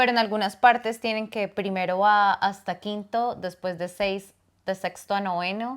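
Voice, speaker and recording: In an ordinary speaking voice, a woman talks at a fairly slow pace with a medium pitch and fairly even intonation, on a very clean recording with a silent background. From Colombia (Bogotá, then Bucaramanga). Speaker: podcast co-host. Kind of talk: casual chat.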